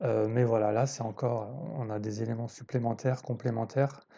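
A man's dark, mellow tone at medium pitch, monotone, flat intonation and a fairly slow pace. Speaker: podcast host on trading psychology. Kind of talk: solo podcast monologue, book review. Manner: hesitant, many fillers and repetitions; improvised, thinking aloud.

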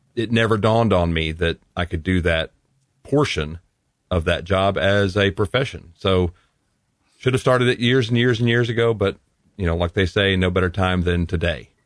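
A man's very deep, low voice in a Southern US accent, at a very even loudness. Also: ordinary pitch variation, moderate pace. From Tennessee. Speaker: voice over artist and audio producer. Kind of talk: casual interview chat.

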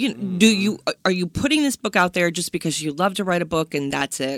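A woman with an ordinary speaking voice, a fairly low pitch, lively intonation and a moderate pace. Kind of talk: interview, conversational.

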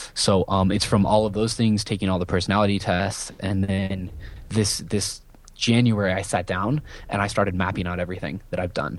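Speaking in an ordinary speaking voice with an American accent, a man talks at a fairly quick pace, his pitch fairly low with fairly even intonation. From US Midwest, rural Iowa. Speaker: entrepreneur, business coach. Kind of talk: interview.

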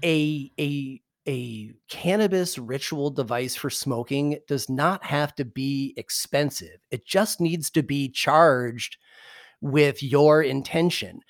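A man's fairly high voice at a very slow pace with ordinary pitch variation, in a dry, close sound with no echo and a very clean recording with a silent background. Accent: Midwestern American. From US Midwest, Michigan. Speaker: cannabis podcast host. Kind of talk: casual interview. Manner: hesitant, many fillers.

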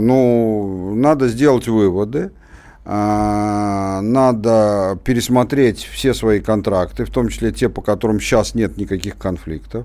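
The man's pitch is fairly low. He speaks at a fairly slow pace with ordinary pitch variation. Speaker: radio co-host, political commentator. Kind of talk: radio talk show discussion. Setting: studio. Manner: animated.

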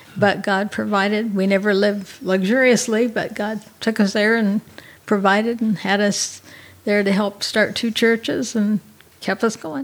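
The speaker uses a plain, everyday voice at a moderate pace with fairly even intonation. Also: woman, medium pitch for a woman. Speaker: missionary. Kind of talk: interview testimony.

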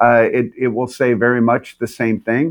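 A man speaks at a medium pitch and a moderate pace. He has a plain, everyday voice. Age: 60s. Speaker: leadership coach and pastor. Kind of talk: casual interview.

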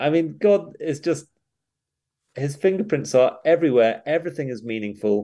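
A man with a British accent, a fairly high, dark and mellow voice, very wide pitch swings and a moderate pace. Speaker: pastor and author. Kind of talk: interview.

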